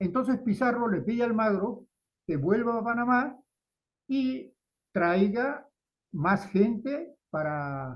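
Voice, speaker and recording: Pitched high, a man speaks very slowly with lively intonation and long, frequent pauses. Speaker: lecturer giving a talk to Spanish students. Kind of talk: lecture. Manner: halting, with fillers and repetitions.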